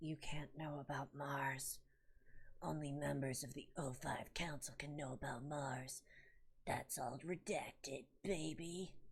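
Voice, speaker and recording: Moving at a fairly slow pace, the put-on character voice stays at a low-to-middle pitch. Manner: secretive, ominous, gatekeeping.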